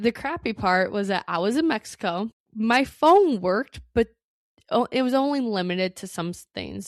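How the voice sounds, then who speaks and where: An ordinary speaking voice from a woman, medium in pitch, with ordinary pitch variation and a moderate pace, set against a quiet background. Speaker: Airbnb host and podcaster. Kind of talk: casual podcast talk.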